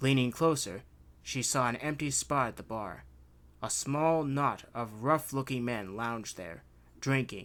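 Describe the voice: Text read aloud plainly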